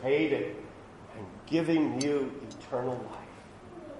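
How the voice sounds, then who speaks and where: A man's very slow, lively-intoned speech with audible room echo and noticeable background noise. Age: 60s. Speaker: pastor. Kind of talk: sermon. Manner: halting.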